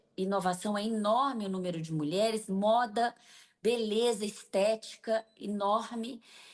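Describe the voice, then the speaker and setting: Her fairly high pitch and fairly even intonation mark a woman's unremarkable speaking voice. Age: 60s. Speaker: business association leader. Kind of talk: TV interview.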